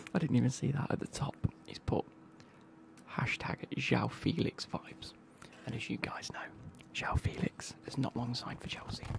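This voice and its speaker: The man whispers at a moderate speed, stopping often for long pauses. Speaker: football kit unboxing creator. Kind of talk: casual vlog chat. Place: home room. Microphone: studio mic.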